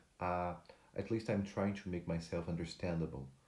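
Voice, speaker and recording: Speaking at a moderate pace, a man has a very deep, low pitch and a dark, mellow tone. Audible room echo fills the recording. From Brazil. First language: Portuguese. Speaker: motivational speaker. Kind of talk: motivational talk to camera. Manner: halting, with fillers and restarts.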